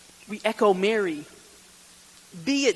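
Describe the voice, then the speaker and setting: A man with a high pitch talks at a fairly slow pace. Noticeable background noise can be heard. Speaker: deacon giving a retreat talk. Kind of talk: retreat talk.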